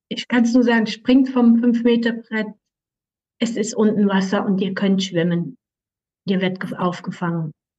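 A woman speaks at a moderate pace with a fairly high pitch, ordinary pitch variation, and long, frequent pauses. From Switzerland, canton Aargau. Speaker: animal communicator. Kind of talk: interview.

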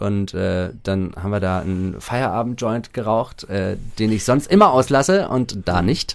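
In an unremarkable speaking voice, a man talks at a fairly slow pace with a fairly low pitch. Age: 30s. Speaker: recovering gambling addict. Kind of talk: casual interview.

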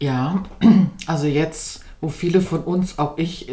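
In a room with audible echo and noticeable background noise, a woman speaks at a fairly low pitch. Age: 40s. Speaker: former course participant, mother, NGO worker. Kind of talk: interview. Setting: in person, sitting together over tea.

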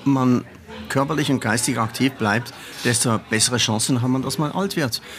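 There is noticeable background noise behind the speaker. A man talks at a medium pitch with ordinary pitch variation. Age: old. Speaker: carnival veteran, former committee chairman. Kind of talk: interview. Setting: café. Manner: animated.

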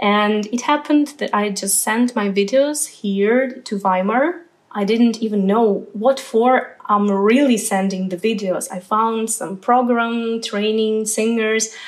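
In a Ukrainian accent, a woman speaks at a very slow pace with a fairly high pitch and fairly even intonation. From Ukraine. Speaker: opera singer. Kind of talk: interview.

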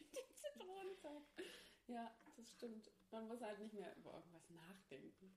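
Fairly high in pitch and somewhat breathy, a woman speaks at a fairly slow pace with very wide pitch swings. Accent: Thuringian. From Thuringia, Germany (Ilmenau). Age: 20s. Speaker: podcast guest, host's best friend. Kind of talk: casual chat. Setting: friend's attic apartment.

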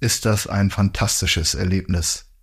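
Over a silent background on a very clean recording, a man with a plain, everyday voice talks at a fairly low pitch and moderate pace with fairly even intonation. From northern Germany. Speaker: hunting podcast co-host. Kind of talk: casual chat.

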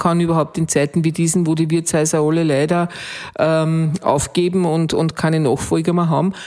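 This woman talks at a moderate pace, her fairly low pitch held in a monotone, flat intonation. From Austria, Waldviertel (Lower Austria). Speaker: innkeeper. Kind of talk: interview. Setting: restaurant. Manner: hesitant fillers.

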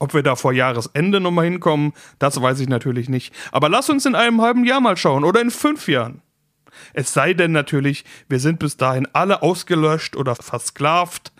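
On a very clean recording with a silent background, a man has a normal speaking voice with a fairly high pitch, lively intonation and a moderate pace, in a dry, close sound with no echo. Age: 30s. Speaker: finance podcast host. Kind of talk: solo podcast monologue.

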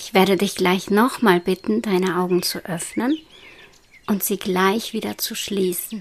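A woman with a normal speaking voice talks at a medium pitch and a fairly slow pace, with ordinary pitch variation. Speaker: meditation guide. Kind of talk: guided meditation. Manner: slow, soothing and hypnotic; soft-spoken, calm, with long pauses.

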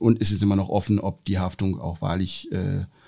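A man with a fairly low pitch and a dark, mellow tone talks at a moderate pace with vocal fry. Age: 40s. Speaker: insurance executive. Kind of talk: interview. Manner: frequent filler sounds.

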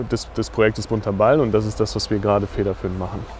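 The man's voice sits at a fairly low pitch. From Sauerland, western Germany. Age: 20s. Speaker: former football goalkeeper, nonprofit founder. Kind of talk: interview. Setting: outdoors at a football stadium.

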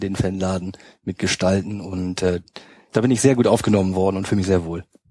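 A man with a slight Bremen accent speaks fairly quickly at a fairly low pitch. His intonation is flat and monotone, and the recording is very clean with a silent background. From northern Germany, Hamburg outskirts. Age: 30s. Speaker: fan project social worker. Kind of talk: casual chat. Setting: studio.

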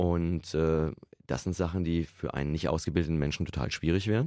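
With vocal fry and a very deep, low pitch, a man talks at a fairly quick pace in a very clean recording with a silent background. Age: 50s. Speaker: computer science professor. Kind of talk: interview. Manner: conversational, frequent fillers.

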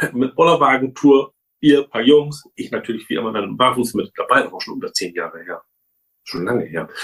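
A man talks at a moderate pace. His loudness swings widely from moment to moment. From northern Germany, between Hamburg and Bremen. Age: 40s. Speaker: truck mechanic. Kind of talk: interview.

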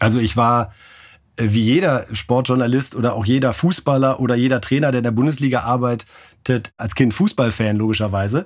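Captured in a very clean recording with a silent background, a man with an ordinary speaking voice talks at a fairly quick pace with medium pitch and ordinary pitch variation. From northern Germany (Bremen). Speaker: sports journalist, newspaper sports editor. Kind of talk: interview.

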